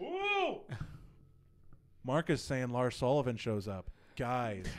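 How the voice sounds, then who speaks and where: This man's voice sits at medium pitch with ordinary pitch variation. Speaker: wrestling podcast co-host. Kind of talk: casual chat. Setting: live stream. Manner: fast.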